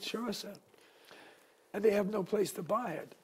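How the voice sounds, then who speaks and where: A man with a high pitch speaks at a moderate pace. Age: 80s+. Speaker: small business owner. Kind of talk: interview answer.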